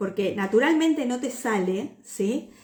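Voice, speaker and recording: A woman's fairly high voice, very slow in pace, with lively intonation. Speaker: personal branding mentor. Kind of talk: livestream talk. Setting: live video stream. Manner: hesitant, many fillers.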